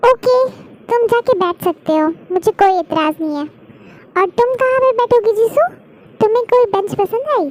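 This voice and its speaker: In a put-on character voice, a woman speaks at an extremely high pitch with lively intonation and a moderate pace, taking long, frequent pauses, the sound dry and close with no echo. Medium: read story. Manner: brisk, motherly.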